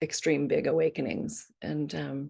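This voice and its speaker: A woman speaks with a very deep, low pitch and a dark, mellow tone touched by vocal fry. The background is quiet. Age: 60s. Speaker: grief support team member, former dancer. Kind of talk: personal sharing in group video call. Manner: halting, many fillers.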